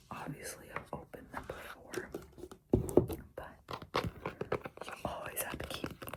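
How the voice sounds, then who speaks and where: A woman is whispering at a moderate pace against noticeable background noise. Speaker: tennis player. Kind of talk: ASMR show-and-tell to camera. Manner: whispered, soft-spoken.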